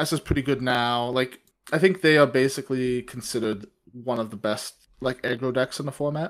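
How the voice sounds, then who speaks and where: A man talks in a plain, everyday voice at medium pitch and a fairly quick pace. The recording is very clean with a silent background, and his pitch varies in an ordinary way. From Canadian Prairies. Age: 20s. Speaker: law student and card game player. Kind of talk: casual chat.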